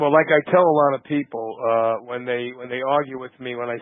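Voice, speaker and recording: A man with a Brooklyn accent talks at a moderate pace. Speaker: podcast host. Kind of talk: interview. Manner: halting, many fillers.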